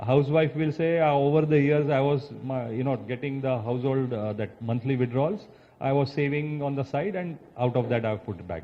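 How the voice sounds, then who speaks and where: A man with an Indian accent talks at a fairly quick pace. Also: fairly high pitch for a man, ordinary pitch variation. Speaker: chartered accountant. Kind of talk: expert talk. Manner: explanatory, with filler words.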